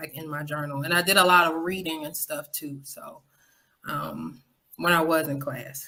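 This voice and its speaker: This woman speaks with a Southern US accent, very deep and low, at a moderate pace. Her loudness swings widely while her intonation stays fairly even. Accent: Southern twang. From Florida, West Palm Beach. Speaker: podcaster. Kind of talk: interview.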